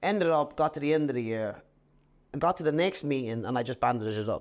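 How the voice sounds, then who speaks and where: The speaker is a man with an Irish accent. His pace is moderate. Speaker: jockey. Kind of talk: podcast interview answer. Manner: casual, anecdotal.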